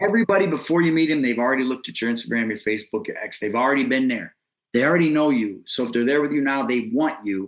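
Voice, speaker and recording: In an American accent, a man speaks at a very fast pace with a medium pitch, an animated tone, and lively intonation. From Ohio, Lake County (Painesville, near Cleveland). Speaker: hip hop artist and event host. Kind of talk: casual interview. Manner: loud, outgoing.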